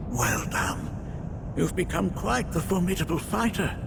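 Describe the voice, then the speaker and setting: Against loud background noise, a man uses a cartoonish character voice at a moderate pace. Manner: formal, measured.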